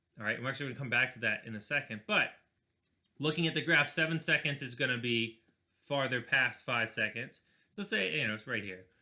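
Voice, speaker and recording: Recorded very cleanly against a silent background, a man with a medium pitch and a bright, sharp tone talks at a very fast pace with ordinary pitch variation. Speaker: physics teacher. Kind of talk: recorded video lesson. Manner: casual.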